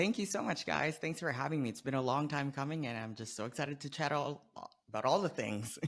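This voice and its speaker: Pitched fairly high, the voice belongs to a man. He delivers it very fast. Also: ordinary pitch variation. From Philippines. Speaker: nurse and social media consultant. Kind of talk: podcast interview.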